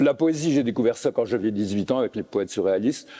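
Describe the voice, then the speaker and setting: This man speaks at a medium pitch. His tone is dark and mellow. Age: 70s. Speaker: poet and translator. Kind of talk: literary conversation. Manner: hesitant.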